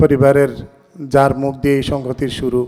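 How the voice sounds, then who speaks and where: A man's dark, mellow tone sits at a medium pitch, delivered in a monotone, flat intonation. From Bangladesh. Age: 50s. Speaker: member of a literary society. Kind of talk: speech at an anniversary event.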